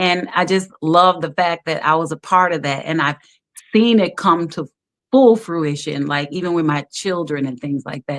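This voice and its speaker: A woman's normal speaking voice, fairly low in pitch, with a dry, close sound and no echo. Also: ordinary pitch variation, moderate pace, quiet background. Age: 60s. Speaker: talk show host. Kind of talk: casual chat.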